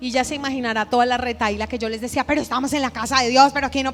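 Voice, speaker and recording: Talking at a very fast pace, a woman with a high pitch sounds animated over noticeable background noise. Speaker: pastor. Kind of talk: sermon.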